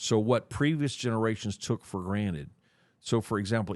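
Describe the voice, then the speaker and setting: Very fast speech in an American accent. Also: man, quiet background. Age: 60s. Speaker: church leader. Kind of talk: interview.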